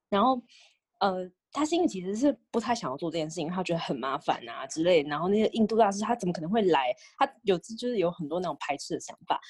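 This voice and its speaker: Very fast talk with very wide pitch swings, in a dry, close sound with no echo. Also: woman, medium pitch for a woman. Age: 20s. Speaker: podcast co-host. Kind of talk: casual chat.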